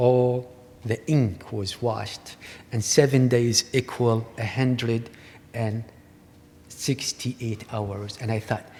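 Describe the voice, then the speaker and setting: Somewhat breathy, a man with an Iraqi accent speaks at a very slow pace and a medium pitch, with fairly even intonation and long, frequent pauses. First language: Arabic. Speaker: artist. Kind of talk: lecture.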